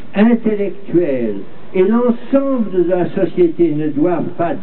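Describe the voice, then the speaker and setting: A man speaks at a high pitch with lively intonation. Noticeable background noise sits behind him. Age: 80s+. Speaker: former French Resistance member and diplomat. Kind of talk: public speech reading a manifesto. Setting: outdoors. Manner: spoken with conviction.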